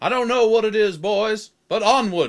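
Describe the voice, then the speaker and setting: In a cartoonish character voice, a man speaks at a moderate pace with a high pitch and fairly even intonation. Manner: earnest, leaderly.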